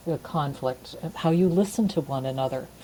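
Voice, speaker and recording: A woman speaks at a moderate pace in a very deep, low voice that is dark, mellow and somewhat breathy. Her pitch varies in an ordinary way. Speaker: couples therapist. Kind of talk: interview. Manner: calm, low-energy.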